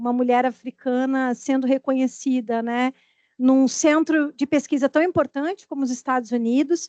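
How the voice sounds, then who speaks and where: A dark, mellow tone with fairly even intonation comes through dry and close with no echo. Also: woman, high pitch for a woman, moderate pace. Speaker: audience member, literature researcher. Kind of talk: academic Q&A question. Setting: academic seminar panel.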